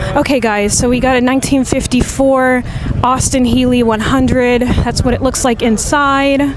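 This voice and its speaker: Amid noticeable background noise and audible room echo, a woman speaks in a high pitch at a moderate pace with monotone, flat intonation and very even loudness. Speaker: livestreamer and vlogger. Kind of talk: live walkthrough commentary. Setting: outdoors at a car show. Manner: casual, chatty.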